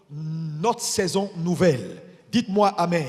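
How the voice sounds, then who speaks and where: Behind this man's voice, noticeable background noise can be heard. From Ivory Coast. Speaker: bishop preaching. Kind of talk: sermon. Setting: church. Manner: deliberately slow.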